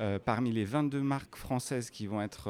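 This man has an ordinary speaking voice. He speaks at a fairly slow pace with ordinary pitch variation. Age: 40s. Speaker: fashion designer and entrepreneur. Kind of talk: interview. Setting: corridors of a live industry event.

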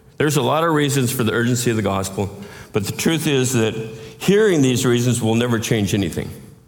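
There is audible room echo and noticeable background noise as a man speaks at a medium pitch and a fairly quick pace. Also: ordinary pitch variation. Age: 60s. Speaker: pastor. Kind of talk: sermon.

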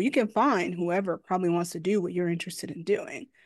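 A woman talks at a fairly quick pace with a medium pitch and ordinary pitch variation. It is an ordinary speaking voice, set against a quiet background. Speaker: course consultant and energy coach. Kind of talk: casual interview chat.

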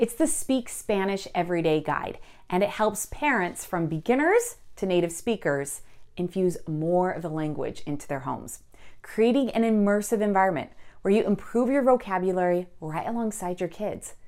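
Her intonation lively, a woman with an ordinary speaking voice talks at a moderate pace and medium pitch. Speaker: podcast host. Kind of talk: interview conversation.

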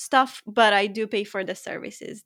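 At a moderate pace, a woman with a non-native accent speaks in a fairly high pitch with fairly even intonation. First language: not English. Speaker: high performance coach and author. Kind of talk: interview conversation.

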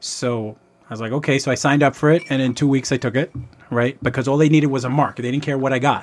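A man with a New York accent at medium pitch, very fast pace, monotone, flat intonation, and noticeable background noise. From New York City, the Bronx. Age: 50s. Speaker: childhood friend of host. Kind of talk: casual chat.

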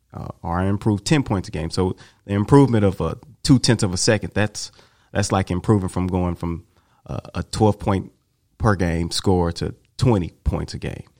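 A man with an American accent speaks at a moderate pace in a very deep, low pitch. His pitch variation is ordinary, and the sound is dry and close with no echo. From Tulsa, Oklahoma. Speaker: track coach. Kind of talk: casual chat.

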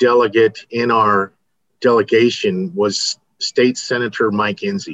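A man at a medium pitch, with a dry, close sound and no echo. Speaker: state senator and former teacher and coach. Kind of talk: casual interview.

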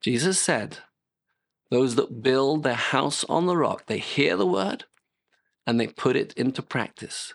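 Lively intonation marks this fairly slow delivery in a British accent, with long, frequent pauses over a quiet background. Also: man, medium pitch for a man, very even loudness. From Britain. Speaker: pastor. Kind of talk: sermon.

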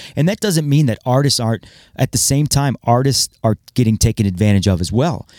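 A man with an American accent and a medium-pitched voice speaks with lively intonation in a very clean recording with a silent background. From US Midwest (Iowa, Ohio). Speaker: music producer. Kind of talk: casual interview.

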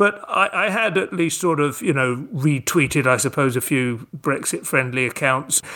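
Over noticeable background noise, a man with a fairly high voice keeps lively intonation and very even loudness, speaking at a moderate pace with hardly any pauses. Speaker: stand-up comedian and writer. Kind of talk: interview, casual chat.

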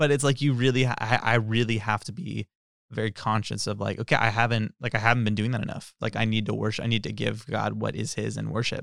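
With an American accent and vocal fry, a man speaks very fast at a fairly low pitch with ordinary pitch variation, on a very clean recording with a silent background. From California Central Valley. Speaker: church bassist. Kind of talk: casual chat.

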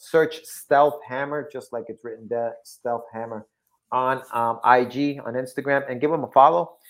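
A man speaks at a medium pitch and a fairly slow pace, with big swings in loudness. The recording is very clean, with a silent background. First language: not English. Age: 40s. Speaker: podcast co-host. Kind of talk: casual chat. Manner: animated.

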